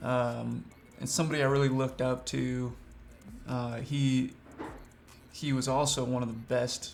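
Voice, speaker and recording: Pausing long and often, a man with a slight Southern US accent talks at a fairly slow pace. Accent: slight Southern drawl. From Washington state, USA. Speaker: freelance filmmaker.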